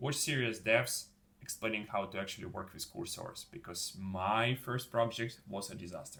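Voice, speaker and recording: With a non-native accent, a man speaks in a medium-pitched voice of bright, sharp tone and lively intonation. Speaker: YouTuber, former fashion model. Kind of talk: casual vlog tutorial. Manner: casual, with fillers.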